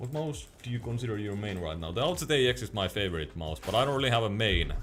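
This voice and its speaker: Speaking at a very fast pace with a Finnish accent, a man with a fairly low pitch makes very wide pitch swings. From Finland. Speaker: gaming streamer and mouse reviewer. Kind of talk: live stream chat while gaming. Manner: halting.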